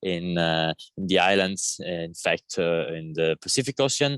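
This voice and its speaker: This man has an Italian accent and speaks at a fairly slow pace. The sound is dry and close, with no echo. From Italy. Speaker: climate activist. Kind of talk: panel seminar talk. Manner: halting, many fillers and repeated words.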